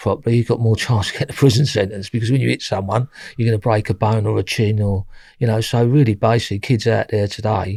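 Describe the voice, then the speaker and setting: A man's very fast, somewhat breathy speech with a Cockney accent, dark and mellow in tone, with fairly even intonation. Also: dry, close sound with no echo, very clean recording, silent background. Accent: East London Cockney. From London East End. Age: 60s. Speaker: former armed robber. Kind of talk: interview.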